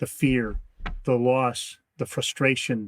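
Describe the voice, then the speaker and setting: Recorded with a dry, close sound and no echo, a man at a medium pitch speaks at a very slow pace. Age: 60s. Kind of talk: interview.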